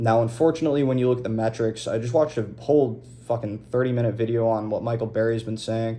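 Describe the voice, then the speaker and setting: Somewhat breathy and dark, mellow in tone, a man with medium pitch speaks at a fairly quick pace. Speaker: crypto video host. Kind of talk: unscripted monologue. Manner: casual, off the cuff; stuttering.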